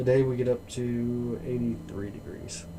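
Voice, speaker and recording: Male voice with audible room echo and noticeable background noise. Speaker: astronomy livestreamer. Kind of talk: casual live stream chat. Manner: mumbling.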